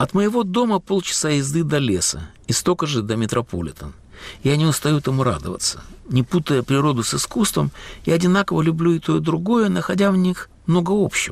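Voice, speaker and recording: This man speaks at a fairly quick pace in a fairly high pitch. His pitch swings very widely while his loudness stays very even. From Latvia, Riga. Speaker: radio host and writer. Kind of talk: scripted narration.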